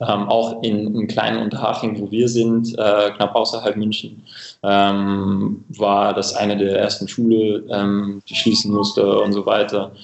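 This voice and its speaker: A man's fairly low, monotone voice with flat intonation, in an English accent. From England, Cambridge. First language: English (speaking German). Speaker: coffee equipment company representative. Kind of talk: casual interview. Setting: remote call. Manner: halting, many filler sounds.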